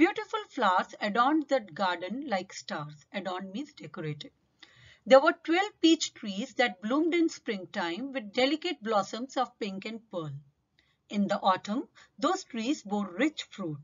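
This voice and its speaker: Somewhat breathy speech at a fairly slow pace, with very wide pitch swings. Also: woman, fairly high pitch for a woman. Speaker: English teacher. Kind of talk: tutorial.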